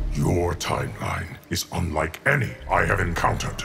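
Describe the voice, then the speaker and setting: A man's growling, cartoonish character voice, very deep and low in pitch, at a moderate pace over clear background noise. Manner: grave, measured.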